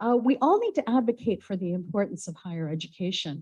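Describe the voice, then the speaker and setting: Against a quiet background, a woman speaks in an American accent at a medium pitch. Her voice is somewhat breathy with a dark, mellow tone. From United States. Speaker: university professor and researcher. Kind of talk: conference presentation.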